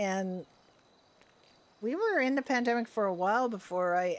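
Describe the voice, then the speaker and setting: A woman speaks in a plain, everyday voice at a fairly slow pace. Her pitch varies in an ordinary way. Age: 60s. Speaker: livestreamer, roleplay gamer. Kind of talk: casual chat. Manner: relaxed, chatty.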